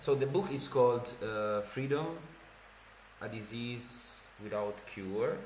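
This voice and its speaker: A man with an Italian accent, medium pitch and ordinary pitch variation, amid noticeable background noise and audible room echo. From Italy. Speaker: streamer. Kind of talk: casual livestream chat and reading. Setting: livestream. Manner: casual, hesitant with fillers.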